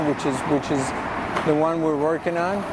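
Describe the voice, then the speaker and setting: There is noticeable background noise in the clip. The speaker is a man with an American accent. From Texas, El Paso. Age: 60s. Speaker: muralist. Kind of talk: interview. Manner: halting.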